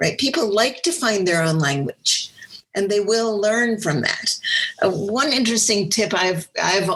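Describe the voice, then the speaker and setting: A woman speaks fairly slowly, her pitch varying in an ordinary way. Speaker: nonprofit fundraising consultant. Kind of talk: webinar discussion. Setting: live webinar. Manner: animated.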